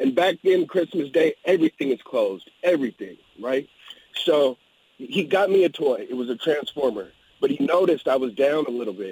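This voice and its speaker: With vocal fry and lively intonation, a man speaks at a moderate pace in a fairly high pitch, the sound dry and close with no echo. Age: 40s. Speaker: caller. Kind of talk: radio call-in.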